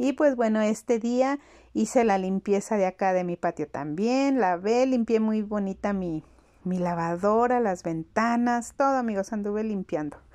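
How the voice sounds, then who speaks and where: Against a quiet background, a woman with a fairly high pitch and a dark, mellow tone speaks with ordinary pitch variation. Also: fairly slow pace. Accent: Mexican. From Mexico. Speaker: home vlogger. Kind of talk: casual vlog narration. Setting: at home.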